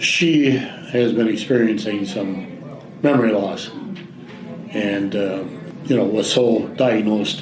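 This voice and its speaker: Speaking very slowly with long, frequent pauses, a man with an Upper Midwest accent is heard against noticeable background noise and audible room echo. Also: ordinary pitch variation. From Wisconsin. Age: 80s+. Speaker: caregiver. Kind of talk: interview. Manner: halting.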